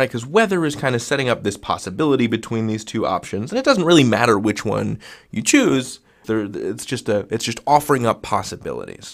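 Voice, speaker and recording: With a Midwestern American accent, a man speaks at a fairly quick pace and with ordinary pitch variation. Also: medium pitch for a man, very clean recording, silent background. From US Midwest. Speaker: online grammar teacher. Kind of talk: tutorial. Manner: casual, playful.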